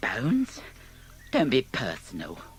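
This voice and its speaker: A man whispers in a put-on, whiny character voice. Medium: read story. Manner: whining, complaining.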